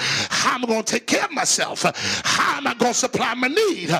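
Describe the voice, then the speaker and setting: There is noticeable background noise. Over it, a man talks in an animated tone. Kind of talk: sermon, preacher in full flow. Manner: animated, forceful, rhetorical; call-and-response, impassioned pulpit delivery.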